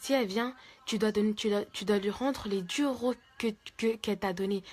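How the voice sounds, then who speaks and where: A soft-spoken woman talks at a moderate pace. Her pitch is fairly high, and her intonation stays fairly even. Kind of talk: religious advice talk. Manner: halting.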